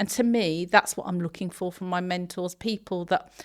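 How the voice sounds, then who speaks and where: At a moderate pace, a woman with an English accent speaks at a fairly low pitch with fairly even intonation, on a very clean recording with a silent background. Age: 50s. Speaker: construction social value lead. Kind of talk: podcast interview.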